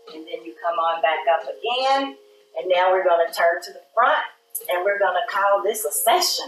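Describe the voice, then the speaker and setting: A woman's voice with big swings in loudness, audible room echo and light background noise. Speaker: yoga instructor and wellness show host; meditation guide. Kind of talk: guided breathing meditation in a chair yoga class, cueing inhales and exhales; guided exercise instruction. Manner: gentle, unhurried run-on cues with soft laughs, gliding between instructions; warm, encouraging and faith-tinged, closing with a prayerful blessing. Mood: calm, soothing guidance. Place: studio.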